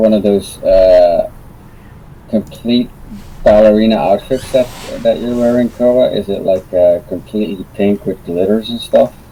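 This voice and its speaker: A man's fairly slow speech over noticeable background noise. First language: not English. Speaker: tabletop RPG player. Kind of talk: casual chat.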